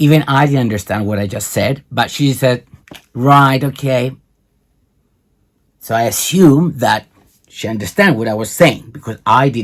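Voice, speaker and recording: The speaker has a Cypriot accent and ordinary pitch variation. Long pauses come often. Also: man, medium pitch for a man. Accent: Greek Cypriot. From Cyprus. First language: Greek. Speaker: video blogger. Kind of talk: commentary on a recording. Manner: halting.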